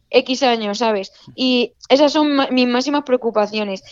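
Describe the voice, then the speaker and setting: A woman talks at a fairly slow pace in a high-pitched voice. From Spain, Extremadura. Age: 20s. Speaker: long-distance runner. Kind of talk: interview.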